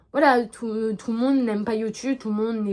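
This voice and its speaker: The woman's voice sits fairly high with fairly even intonation. She keeps a moderate pace. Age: 20s. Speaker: equestrian YouTuber. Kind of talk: casual vlog monologue. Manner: hesitant, many fillers.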